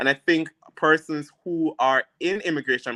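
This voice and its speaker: This man has a strong Jamaican accent and a fairly high voice with a bright, sharp tone, talking at a moderate pace in a dry, close recording with no echo. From rural Jamaica. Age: 30s. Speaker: immigration and criminal lawyer. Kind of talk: interview on live stream.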